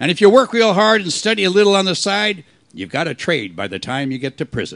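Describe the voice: A man's put-on character voice, high-pitched with a fairly bright tone, vocal fry, lively intonation and a fairly quick pace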